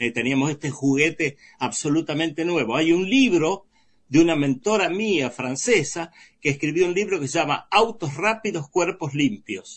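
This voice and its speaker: Speaking at a moderate pace with lively intonation, a man with an Argentine accent uses a fairly high pitch. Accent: Rioplatense Argentine Spanish. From Argentina, Baradero (Buenos Aires province). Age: 70s. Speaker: writer. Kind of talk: interview.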